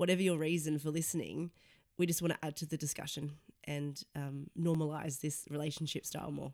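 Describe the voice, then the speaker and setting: Her pitch is very deep and low for a woman, with monotone, flat intonation. She speaks in an Australian accent. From Sydney, Australia. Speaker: podcast co-host, journalist. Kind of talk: casual chat.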